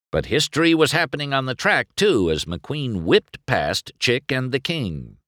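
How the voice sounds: The background is quiet. Over it, someone reads in a natural voice.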